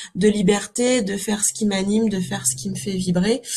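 Somewhat breathy and dark, mellow in tone, a woman's medium-pitched voice moves at a fairly slow pace with fairly even intonation. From Normandy, France (Calvados). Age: 30s. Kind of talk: interview. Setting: remote call. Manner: hesitant, many fillers.

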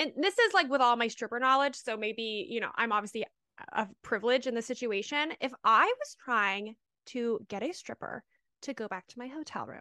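A woman with a high pitch speaks at a moderate pace in a raised, projected voice with a bright, sharp, animated tone. Her intonation is lively, and the sound is dry and close with no echo. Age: 30s. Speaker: podcast co-host, stripper. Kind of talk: casual chat.

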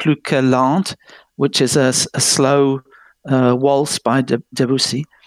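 Speaking very slowly with an English accent, a man uses a fairly high voice, recorded dry and close with no echo. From England. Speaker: music presenter. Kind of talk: casual chat.

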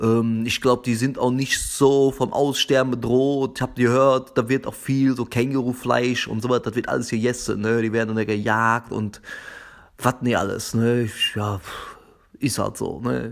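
On a very clean recording with a silent background, a man of medium pitch speaks at a moderate pace in a monotone, flat intonation. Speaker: podcast host. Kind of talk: casual solo podcast monologue. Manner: halting, with frequent repetitions and fillers.

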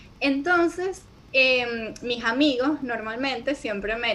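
A woman speaks at a high pitch. Noticeable background noise can be heard. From Venezuela. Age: 20s. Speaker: video editor and entrepreneur. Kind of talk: interview conversation.

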